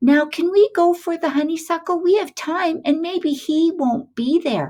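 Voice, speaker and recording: This is a squeaky, put-on character voice. It moves along at a moderate pace. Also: woman, extremely high pitch for a woman. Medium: read story.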